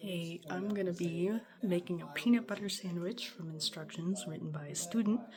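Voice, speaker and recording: Amid noticeable background noise, a woman speaks quietly at a moderate pace in a fairly low pitch, her loudness swinging widely. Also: ordinary pitch variation. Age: 20s. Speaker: college student. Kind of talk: casual talk to camera. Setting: home kitchen, background noise.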